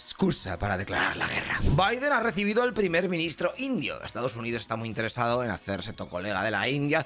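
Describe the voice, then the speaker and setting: A man talks very fast in a Spanish accent, his pitch swinging very widely. Noticeable background noise is present. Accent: Peninsular Spanish. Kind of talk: news report. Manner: brisk, chatty, colloquial delivery with sarcastic, irreverent asides; fast-paced, rattling off headlines one after another.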